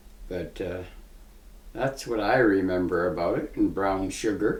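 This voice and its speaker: A man speaks in an Ontario accent at a fairly slow pace. Room echo is audible. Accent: rural Ontario Canadian. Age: 80s+. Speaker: retired farmer. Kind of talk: interview.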